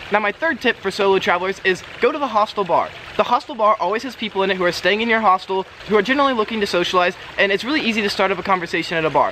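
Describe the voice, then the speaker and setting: A man speaks at a very fast pace in a raised, projected voice with ordinary pitch variation. Light background noise sits behind him. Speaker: travel vlogger. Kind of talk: casual vlog tips. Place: garden. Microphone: camera far.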